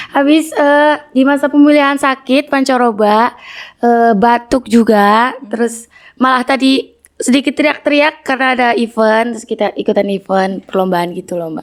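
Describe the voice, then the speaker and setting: Moderate pace and ordinary pitch variation from a woman with a high voice. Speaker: student talk show host. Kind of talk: casual interview. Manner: animated.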